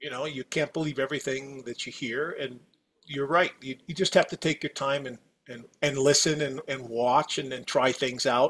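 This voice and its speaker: Heard on a very clean recording with a silent background, a man with an American accent and an unremarkable speaking voice talks at a moderate pace and fairly high pitch, with fairly even intonation and big swings in loudness. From US Midwest, Wisconsin. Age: 60s. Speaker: company executive. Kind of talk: podcast interview.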